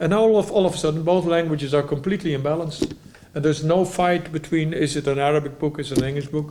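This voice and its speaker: A man with a Dutch accent speaks at a very fast pace in a fairly high pitch. There is audible room echo and noticeable background noise. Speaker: type designer. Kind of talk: lecture. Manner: halting, with frequent restarts.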